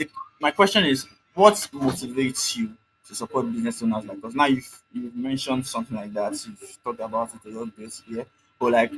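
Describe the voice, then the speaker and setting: With music in the background, a man with a Nigerian accent and medium pitch talks at a fairly quick pace, his intonation lively and his loudness swinging widely. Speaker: interviewer, business consultant. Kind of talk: interview. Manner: hesitant.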